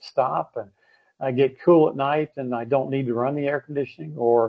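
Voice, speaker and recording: Speaking fairly quickly in a monotone, flat intonation, a man with an American accent holds a medium pitch. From United States. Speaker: energy efficiency expert, retired lecturer. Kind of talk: webinar presentation. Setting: online webinar. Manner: halting, many fillers.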